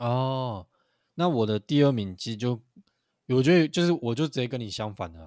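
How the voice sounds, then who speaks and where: In a very clean recording with a silent background, a man with a normal speaking voice and medium pitch speaks at a moderate pace, with lively intonation and big swings in loudness. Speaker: basketball podcast co-host. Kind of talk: casual chat. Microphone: new microphone.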